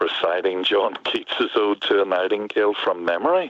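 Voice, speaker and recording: A man with a Northern Irish accent talks at a moderate pace against noticeable background noise. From Northern Ireland, near Belfast. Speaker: poet. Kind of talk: interview. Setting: front porch, remote call.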